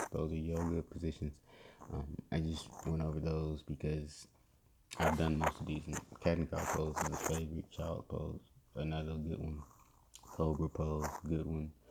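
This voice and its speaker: A man's very deep, low voice, somewhat breathy, monotone and flat, at a moderate pace. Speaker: podcast host. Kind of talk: casual tutorial. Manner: hesitant, many fillers.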